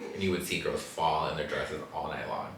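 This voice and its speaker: An American accent over noticeable background noise. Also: man. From Los Angeles. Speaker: podcast host. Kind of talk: casual podcast conversation.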